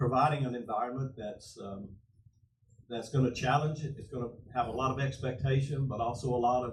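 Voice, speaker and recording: Loudness swings widely as a man talks at a fairly quick pace, his intonation fairly even and his voice somewhat breathy, with audible echo from the room. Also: medium pitch for a man. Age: 70s. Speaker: pastor. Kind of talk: panel discussion. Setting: church with audience.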